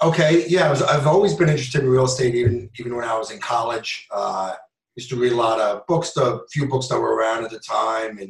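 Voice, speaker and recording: A man's fairly quick speech in an American accent, medium in pitch with ordinary pitch variation, an ordinary speaking voice, and big swings in loudness. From New York. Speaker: real estate investor, former police officer. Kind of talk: interview.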